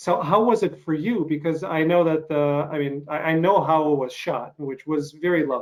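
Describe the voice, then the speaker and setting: Hardly any pauses break this voice, which has a slight Russian accent and ordinary pitch variation. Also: man, fairly high pitch for a man, moderate pace. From eastern Ukraine. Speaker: interviewer. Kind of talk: interview.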